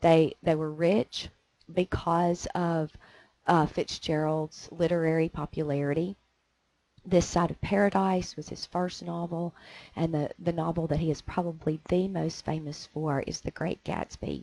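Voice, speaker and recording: A woman speaks in a flat, monotone delivery with a dark, mellow tone at a fairly slow pace, the sound dry and close with no echo. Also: fairly low pitch for a woman. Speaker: teacher. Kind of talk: lecture. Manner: halting, many fillers.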